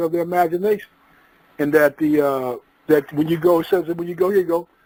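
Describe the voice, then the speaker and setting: The speech comes at a very fast pace with fairly even intonation. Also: man, dry, close sound with no echo. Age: 60s. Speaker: author and lecturer on African history. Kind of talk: lecture-style discussion. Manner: halting, many fillers.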